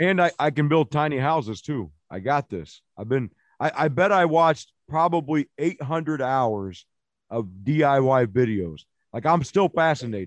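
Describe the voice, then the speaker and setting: Recorded with a dry, close sound and no echo, a man with an unremarkable speaking voice and an American accent speaks fairly slowly at a fairly high pitch, his intonation lively. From Illinois. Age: 40s. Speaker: poet. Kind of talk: casual chat.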